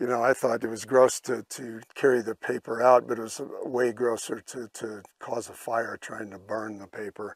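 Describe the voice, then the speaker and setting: Dry with no echo against a quiet background, a man's medium-pitched voice keeps a monotone, flat intonation, swings widely in loudness and has hardly any pauses. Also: moderate pace. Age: 70s. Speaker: hiker. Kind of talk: interview answer. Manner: hesitant. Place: open country.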